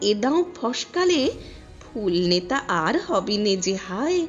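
With music in the background, a woman talks with very wide pitch swings. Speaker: poetry reciter. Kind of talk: poetry reading.

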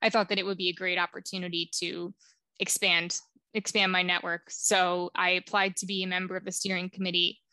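A woman with an American accent talks at a moderate pace in a bright, sharp tone. The sound is dry with no echo, against a quiet background. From New Jersey. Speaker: public health professional; podcast guest. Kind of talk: interview. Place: home room. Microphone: headset.

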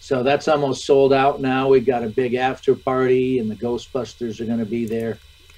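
A man's fairly quick, flat, monotone delivery with hardly any pauses. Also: medium pitch for a man. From US Midwest, Michigan. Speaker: actor. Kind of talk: interview. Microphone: video call.

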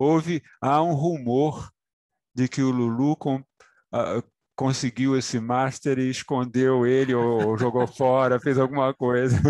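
Speaking fairly slowly, a man keeps a monotone, flat intonation and very even loudness. The sound is dry with no echo, over a quiet background. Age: 70s. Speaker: musician; interviewee. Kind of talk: interview. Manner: halting. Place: home room. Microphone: headset.

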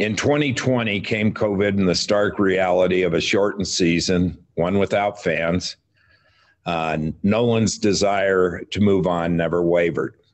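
A man speaks at a very deep, low pitch with fairly even intonation. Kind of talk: prepared press statement. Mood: measured, serious. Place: meeting room. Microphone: video call.

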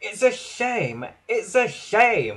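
This put-on character voice sounds female and hisses as it speaks. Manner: hissing.

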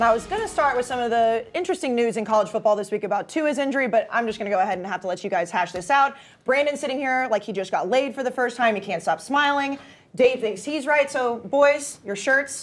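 A woman with an American accent at a high pitch, very fast pace and lively intonation, with light background noise. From Texas. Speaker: sports show host. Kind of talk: sports talk show. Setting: studio. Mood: playful, teasing. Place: studio. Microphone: lapel.

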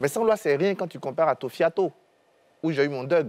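With lively intonation, a man speaks at a fairly slow pace in a fairly high voice. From Côte d'Ivoire. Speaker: historian and security analyst; security analyst. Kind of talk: televised panel debate. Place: studio. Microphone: lapel.

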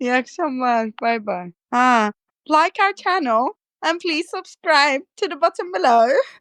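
A woman speaks in a Cypriot accent at a high pitch, her pitch swinging very widely. She talks at a fairly slow pace, with a dry, close sound and no echo. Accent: Cypriot Turkish. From Nicosia, Cyprus. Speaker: art teacher and painter. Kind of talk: casual interview chat.

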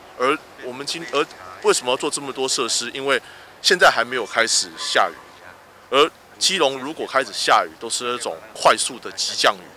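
A man speaks at a fairly quick pace, with long, frequent pauses and big swings in loudness. The sound is dry with no echo, with light background noise. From Taiwan. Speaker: local official at site inspection; local city councillor. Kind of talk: on-site interview remarks. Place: street.

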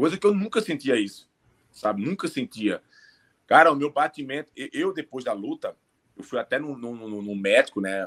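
A man is speaking. His pace is fairly quick. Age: 30s. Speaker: MMA fighter; remote interviewee. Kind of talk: interview. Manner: halting. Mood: reflective, regretful. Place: home room. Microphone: earbuds.

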